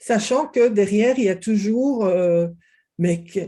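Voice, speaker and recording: A woman with a Belgian accent speaks in a dark, mellow tone. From Belgium. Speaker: kinesiologist. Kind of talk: interview.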